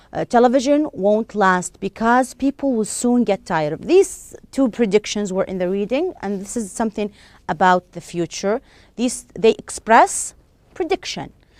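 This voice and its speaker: With an Arabic accent, a woman speaks at a fairly high pitch with lively intonation. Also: moderate pace, dry, close sound with no echo. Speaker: English teacher. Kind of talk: lecture. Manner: halting.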